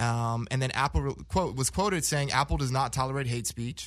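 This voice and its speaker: An ordinary speaking voice with an American accent, ordinary pitch variation and a fairly quick pace, in a very clean recording with a silent background. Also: man. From Los Angeles, Inglewood. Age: 30s. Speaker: panelist. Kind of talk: casual chat.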